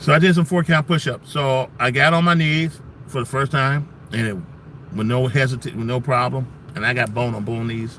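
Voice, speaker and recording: A man's medium-pitched voice, animated and fairly quick, with ordinary pitch variation and noticeable background noise. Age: 60s. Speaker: military veteran and benefits advocate selling pain patches. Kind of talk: casual livestream talk and product pitch.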